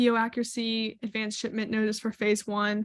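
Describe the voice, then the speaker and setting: This woman has an unremarkable speaking voice, pitched fairly high. She talks at a fairly slow pace. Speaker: webinar presenter on retail supplier topics. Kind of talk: webinar presentation.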